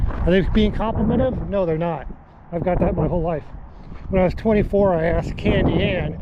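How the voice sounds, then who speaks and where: This man's voice sits high in pitch, with audible room echo and noticeable background noise. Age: 60s. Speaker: hiking vlogger. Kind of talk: casual vlog monologue while hiking.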